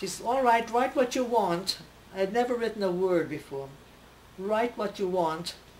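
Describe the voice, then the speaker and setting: Against noticeable background noise, a woman of medium pitch speaks at a moderate pace with lively intonation. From Russia, Odessa. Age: 90s. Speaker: centenarian newspaper columnist. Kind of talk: interview, personal reminiscence. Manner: halting, with hesitations.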